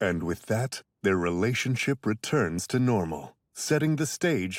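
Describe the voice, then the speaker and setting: Over music in the background, a man uses a dramatic, playful tone at a fairly slow pace, the sound dry and close with no echo. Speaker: voice actor, anime dub narrator. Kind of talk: anime dub narration, dramatic announcer. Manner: dramatic, playful, mock-serious.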